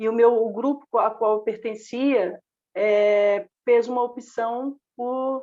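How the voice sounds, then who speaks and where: A woman talks with a Minas Gerais accent. She goes at a very slow pace, with ordinary pitch variation. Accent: Brazilian Portuguese, mineiro. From Brazil, Minas Gerais (Belo Horizonte). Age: 50s. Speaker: socialist activist and teacher. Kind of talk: podcast panel discussion.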